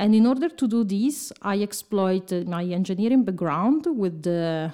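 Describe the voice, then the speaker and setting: A woman talks at a fairly slow pace with an Italian accent. Her intonation is lively. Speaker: bioengineering professor. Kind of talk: interview. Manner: halting.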